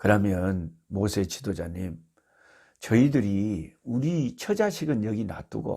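A man's dark, mellow voice, very slow, with very wide pitch swings, on a very clean recording with a silent background. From South Korea, Jeolla (Beolgyo). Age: 60s. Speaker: missionary, Bible teacher. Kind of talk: Bible teaching talk. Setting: recording at his rural family home.

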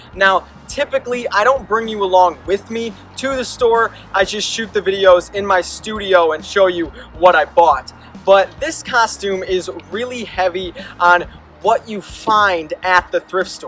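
At a fairly slow pace, a man speaks in a high voice with ordinary pitch variation, a dry sound with no echo, and faint music in the background. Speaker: costume maker vlogger. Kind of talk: casual vlog chat.

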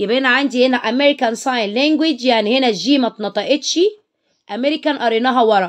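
Over a quiet background, a woman speaks in a high pitch with a bright, sharp tone and ordinary pitch variation. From Egypt. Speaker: English teacher. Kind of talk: tutorial. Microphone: phone near.

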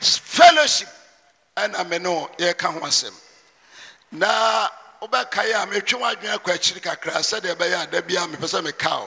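A man's high, animated voice with a Ghanaian accent, lively in intonation, at a moderate pace with long, frequent pauses. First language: Twi. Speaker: preacher. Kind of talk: sermon, mixing Twi and English, with prayer and scripture reading. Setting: church with congregation. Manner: animated, forceful preaching with call-and-response. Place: church. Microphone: handheld.

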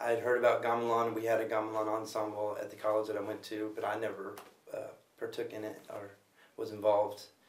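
A man with an American accent, flat monotone delivery, a fairly quick pace and audible room echo. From US, Los Angeles; California. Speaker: music producer and gamelan player. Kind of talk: interview. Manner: halting, with repeated words.

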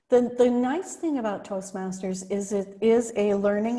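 A woman's somewhat breathy voice with a dark, mellow tone, over a quiet background. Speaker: presentation skills coach. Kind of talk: workshop presentation. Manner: energetic. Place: home room. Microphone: earbuds.

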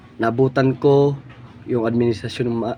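Over noticeable background noise, a man at a medium pitch speaks at a moderate pace with flat, monotone intonation. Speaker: political commentary vlogger. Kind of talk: political opinion monologue.

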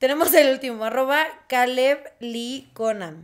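This woman's voice sits at a high pitch for a woman. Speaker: podcast co-host. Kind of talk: casual chat.

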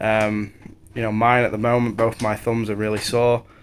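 A man speaks at a fairly quick pace with monotone, flat intonation. Light background noise is present. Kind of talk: casual vlog chat while working. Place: street. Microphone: phone near.

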